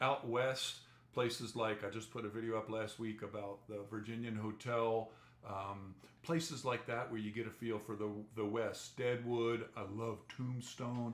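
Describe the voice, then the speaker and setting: A man in an American accent, monotone and flat, at a fairly slow pace, with audible room echo. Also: medium pitch for a man. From New Jersey. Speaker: travel vlogger. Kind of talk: live stream chat.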